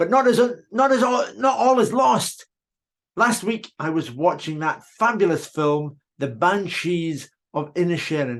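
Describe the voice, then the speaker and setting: At a high pitch, a man with a Scottish accent speaks using very wide pitch swings. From Scotland. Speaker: whisky tour guide giving a speech. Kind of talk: after-dinner speech. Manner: formal.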